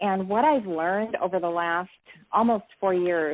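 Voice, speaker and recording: A woman at medium pitch and moderate pace, ordinary pitch variation, a normal speaking voice. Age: 60s. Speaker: network marketing entrepreneur. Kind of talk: interview. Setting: live interview.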